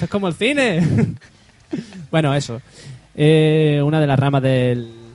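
Over noticeable background noise, a man talks fairly slowly with long, frequent pauses. His fairly high voice has ordinary pitch variation and very even loudness. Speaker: podcast co-host. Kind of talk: casual chat.

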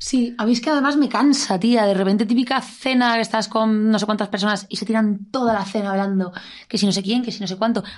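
Speaking at a very fast pace, a woman with a fairly high pitch sounds somewhat breathy, her intonation fairly even. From Cádiz, Andalusia, Spain. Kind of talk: casual chat.

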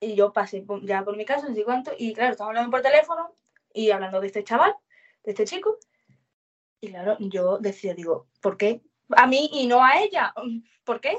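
A woman with a fairly high voice speaks at a moderate pace with lively intonation and long, frequent pauses. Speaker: witness. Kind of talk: testimony.

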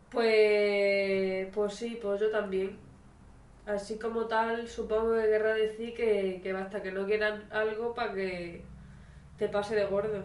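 A woman speaks very slowly in a flat, monotone way. Her pitch sits fairly high, and there is noticeable background noise. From Spain. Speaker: amateur podcast co-host. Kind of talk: casual chat.

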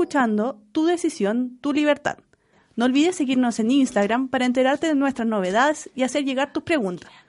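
A woman's high voice at a fairly quick pace, very even in loudness with ordinary pitch variation, over a quiet background. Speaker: radio host, youth volunteer. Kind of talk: casual chat.

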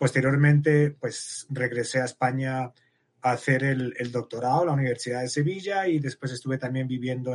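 A man speaks at a medium pitch and moderate pace. His intonation stays fairly even. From Spain, Madrid. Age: 50s. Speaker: biologist researcher. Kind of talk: interview.

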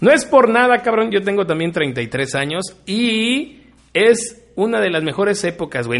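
This man's voice is high in pitch, and he talks at a fairly slow pace. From Mexico, Río Verde, San Luis Potosí. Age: 30s. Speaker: podcast co-host. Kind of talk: casual chat.

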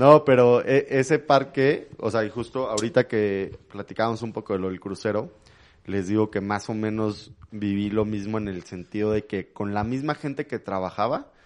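A man speaks in an ordinary speaking voice, fairly low in pitch with ordinary pitch variation. His pace is moderate and the background is quiet. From Mexico City. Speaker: traveler. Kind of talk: casual chat.

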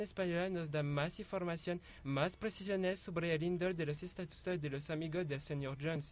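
With a French accent, a man talks at a moderate pace in a high pitch, his intonation fairly even. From France. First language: French (speaking Spanish). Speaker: university translation student. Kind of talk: student presentation.

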